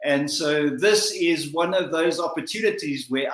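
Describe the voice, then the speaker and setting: There is noticeable background noise and audible room echo. A man with a South African accent talks at a fairly slow pace with very wide pitch swings. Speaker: motivational speaker. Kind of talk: motivational talk. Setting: livestream. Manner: formal.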